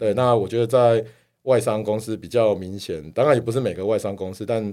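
In a strong Taiwanese accent, a man with a dark, mellow tone speaks at a fairly quick pace with ordinary pitch variation on a very clean recording with a silent background. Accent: thick Taiwanese Mandarin. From Taiwan, Kaohsiung. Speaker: tech company executive. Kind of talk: casual interview chat.

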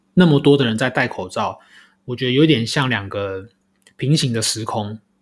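A man's voice at medium pitch with ordinary pitch variation, in a very clean recording with a silent background. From Taiwan. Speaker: podcast host. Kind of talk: solo podcast commentary. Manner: hesitant, many filler sounds.

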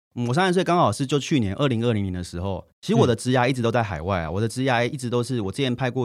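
On a very clean recording with a silent background, a man at a medium pitch talks at a very fast pace with hardly any pauses. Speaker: author and entrepreneur. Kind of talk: interview.

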